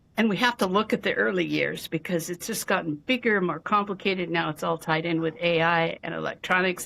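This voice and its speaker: A woman's fairly low pitch with vocal fry, ordinary pitch variation, and hardly any pauses. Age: 70s. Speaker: physician and abuse survivor. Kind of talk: interview testimony. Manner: halting, with frequent fillers and repeats.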